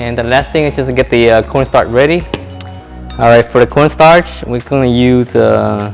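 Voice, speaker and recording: With music in the background, a man delivers his words at a moderate speed. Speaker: home cook. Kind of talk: casual cooking tutorial to camera. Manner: soft-spoken.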